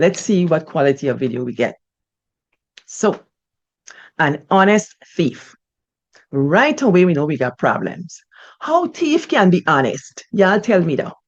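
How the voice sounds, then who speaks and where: Pausing long and often, a woman with a fairly low pitch talks at a fairly slow pace, her pitch swinging very widely. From Guyana, Buxton village. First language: Guyanese Creolese. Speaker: storyteller, channel host. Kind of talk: casual chat and reading aloud. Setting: home recording on Zoom. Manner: expressive, code-switching.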